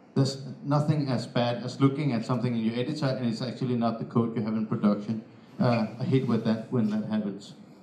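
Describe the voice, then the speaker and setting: A man with a Danish accent talks at a very fast pace and a medium pitch, with audible room echo. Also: fairly even intonation. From Denmark. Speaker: software developer. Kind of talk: conference talk. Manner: halting, many fillers.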